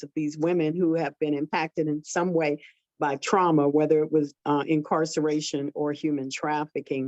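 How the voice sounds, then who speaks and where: A woman's very deep, low voice, dark and mellow in tone, monotone and flat, at a fairly quick pace, with a dry, close sound and no echo. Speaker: pastor. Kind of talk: panel discussion.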